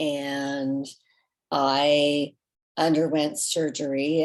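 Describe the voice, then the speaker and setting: A woman with a very deep, low voice, a flat monotone delivery and a Californian accent. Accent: Californian American. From Southern California. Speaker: company founder. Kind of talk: personal story. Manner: halting.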